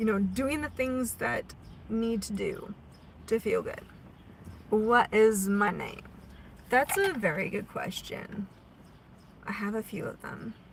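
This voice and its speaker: Long, frequent pauses break up a woman's very slow speech. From US Pacific Northwest, Oregon. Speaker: spiritual livestream host. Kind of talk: spiritual live stream chat. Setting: live stream. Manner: casual, conversational.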